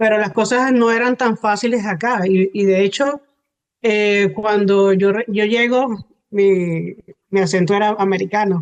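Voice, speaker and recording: A woman with a Venezuelan accent speaks at a medium pitch, her pitch varying in an ordinary way. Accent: Venezuelan Spanish, lovely. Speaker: hypnotherapist. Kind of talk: interview. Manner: hesitant, many fillers.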